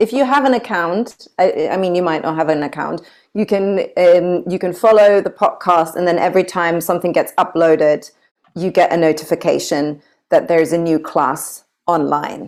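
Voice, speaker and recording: A woman with a German accent speaks at a moderate pace, her pitch fairly low with ordinary variation. The recording is very clean, with a silent background. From Germany. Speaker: yoga teacher. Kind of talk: casual chat.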